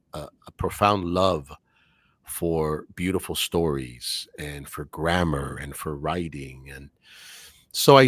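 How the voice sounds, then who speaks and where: In a very clean recording with a silent background, a man speaks with a very deep, low voice. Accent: Spanish. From Cuban American, US. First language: Spanish. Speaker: English teacher and voice actor. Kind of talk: podcast interview. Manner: clear, articulate.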